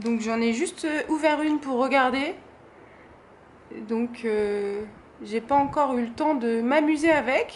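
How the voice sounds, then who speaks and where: Very slowly and with long, frequent pauses, a woman speaks at a high pitch with ordinary pitch variation. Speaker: craft YouTuber. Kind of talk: product haul presentation. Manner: hesitant, many fillers.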